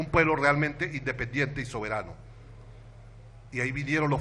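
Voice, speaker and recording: Amid audible room echo, a man with a medium pitch and a bright, sharp tone talks at a moderate pace with fairly even intonation. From Venezuela, Táchira state. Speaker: education activist and intellectual. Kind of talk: panel talk.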